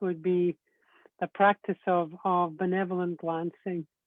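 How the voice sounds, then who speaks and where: With a Scottish accent, a man talks at a fairly slow pace in a high pitch with fairly even intonation. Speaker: Celtic spirituality teacher. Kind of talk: interview on spirituality. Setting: live video stream.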